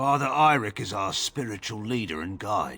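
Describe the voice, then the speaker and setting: A man puts on a character voice that is raspy and medium in pitch. He keeps a moderate pace. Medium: video game. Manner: curt, cold.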